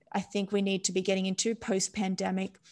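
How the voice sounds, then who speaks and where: Nothing stirs in the quiet background. The words come at a moderate pace. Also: woman. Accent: Australian. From Australia. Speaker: neuroscientist; podcast guest. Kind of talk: casual interview. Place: home room. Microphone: studio mic.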